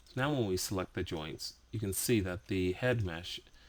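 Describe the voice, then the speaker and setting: A man speaks in a very deep, low voice with ordinary pitch variation. His pace is moderate. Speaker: 3D rigging instructor. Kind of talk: software tutorial.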